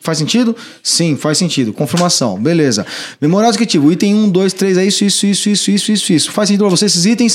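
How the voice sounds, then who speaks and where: The delivery is very fast, with very even loudness. Pitch varies in an ordinary way. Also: man, high pitch for a man. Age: 30s. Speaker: electrical trade trainer and company director. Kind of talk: casual podcast chat, instructional.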